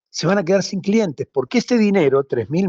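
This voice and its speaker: A man's high-pitched voice at a fairly quick pace, dry and close with no echo. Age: 60s. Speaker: social movement leader. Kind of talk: radio interview.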